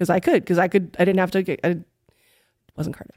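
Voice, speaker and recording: Recorded very cleanly against a silent background, a woman with an American accent speaks in a dark, mellow tone. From New York City. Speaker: comedian and podcaster. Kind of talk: storytelling in casual chat.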